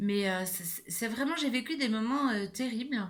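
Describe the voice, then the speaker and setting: A somewhat breathy woman at a very slow pace, with ordinary pitch variation and audible room echo. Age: 60s. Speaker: YouTuber sharing personal experience. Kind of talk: personal vlog monologue. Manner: hesitant, many fillers.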